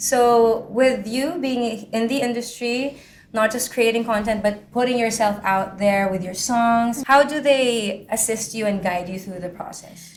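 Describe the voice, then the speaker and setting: In an ordinary speaking voice, a woman talks at a fairly slow pace with hardly any pauses, fairly high in pitch and with ordinary pitch variation. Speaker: podcast host. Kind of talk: podcast interview.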